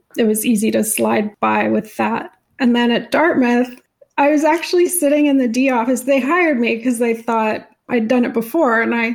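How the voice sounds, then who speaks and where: A woman's high-pitched voice at a moderate pace. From Canada. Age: 40s. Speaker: magazine writer. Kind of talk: interview.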